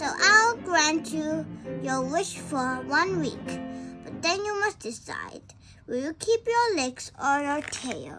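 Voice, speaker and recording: A woman performs a put-on character voice at a fairly slow pace. Clear music plays in the background. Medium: read story.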